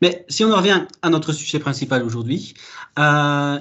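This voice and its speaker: A man speaks with a somewhat breathy voice. His pitch varies in an ordinary way. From Belgium. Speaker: data architect, conference speaker. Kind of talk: conference talk. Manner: hesitant, many fillers.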